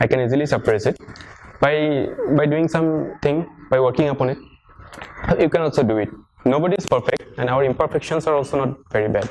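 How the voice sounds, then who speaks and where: This man talks at a very fast pace with a fairly high pitch and ordinary pitch variation, broken by long, frequent pauses. Noticeable background noise runs under the recording. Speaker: civil servant giving exam advice. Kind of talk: talk to students. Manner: halting, many fillers.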